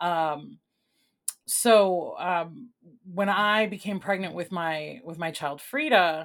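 Someone speaks with a Chicago accent and ordinary pitch variation. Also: woman. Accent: Chicago American English. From Chicago, born in Puerto Rico. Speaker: arts nonprofit executive director. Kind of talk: interview conversation.

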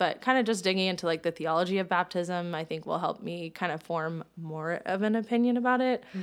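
A woman with an American accent speaks at a fairly quick pace with hardly any pauses, in a medium pitch with ordinary pitch variation. The recording is very clean, with a silent background. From Tallahassee, Florida. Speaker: church member sharing her story. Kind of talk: casual chat, personal interview.

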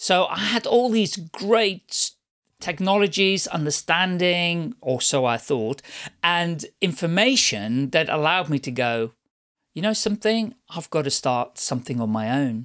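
A man speaks with a Dutch accent at a high pitch and fairly slow pace, his pitch swinging very widely. The sound is dry and close, with no echo. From Netherlands, moved to Surrey as teen. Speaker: storyteller and animation business owner. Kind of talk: casual interview.

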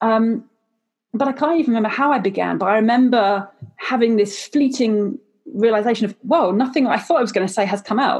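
Her voice is an unremarkable speaking voice, fairly high for a woman, with ordinary pitch variation. She talks at a fairly quick pace and keeps her loudness very even. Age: 30s. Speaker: podcast host. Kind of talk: casual chat.

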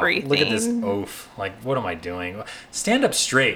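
Very wide pitch swings mark a man's very slow speech, heard over noticeable background noise. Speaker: podcast co-host.

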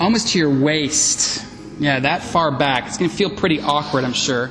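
Against noticeable background noise, a man speaks in a calm tone with ordinary pitch variation. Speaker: yoga instructor. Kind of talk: live guided vinyasa yoga class cueing poses to the breath. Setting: in-person class with students in the room. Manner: steady, calm instructional cueing paced to inhale and exhale; encouraging, with brief affirmations between cues.

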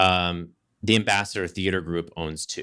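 In a very clean recording with a silent background, a man with an American accent talks at a fairly slow pace in a bright, sharp tone. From Southeast Texas. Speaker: Broadway actor and life coach. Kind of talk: casual interview chat.

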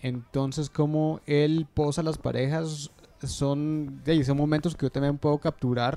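This man's voice is fairly high in pitch, with a dark, mellow tone. He talks at a fairly slow pace in a monotone, flat delivery. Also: very even loudness. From Guatemala. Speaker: wedding videographer. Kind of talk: casual interview chat.

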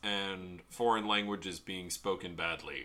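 With a bright, sharp tone, a man speaks at a fairly slow pace. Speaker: podcast co-host. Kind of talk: casual chat. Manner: enunciates clearly; animated.

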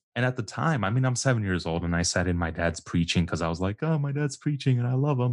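Man at a medium pitch, very fast with hardly any pauses, lively intonation, quiet background. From Texas, Houston area (born in Guatemala). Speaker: church podcast host. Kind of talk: casual chat.

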